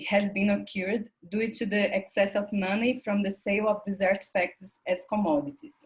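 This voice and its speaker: Her voice is medium-pitched and somewhat breathy. The woman speaks at a moderate pace. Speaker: academic researcher presenting at a conference. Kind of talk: conference presentation, partly read from paper. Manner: halting with self-corrections.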